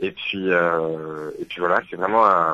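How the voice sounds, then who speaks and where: Slowly, very slowly, a man speaks. His tone is bright and sharp. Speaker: singer-songwriter. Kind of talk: radio interview. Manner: hesitant, many fillers.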